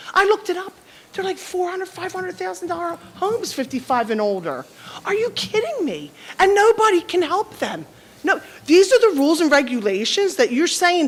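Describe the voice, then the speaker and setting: A loud woman's extremely high voice with very wide pitch swings at a fairly quick pace, over noticeable background noise. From South Jersey. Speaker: resident speaking at public comment. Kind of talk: public comment at council meeting. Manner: loud, forceful; halting, many restarts.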